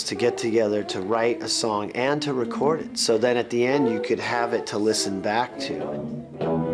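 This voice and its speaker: Music sits in the background while a man speaks at a moderate pace with hardly any pauses. His medium-pitched voice has lively intonation. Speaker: rock guitarist, music therapy founder. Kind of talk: documentary interview answer.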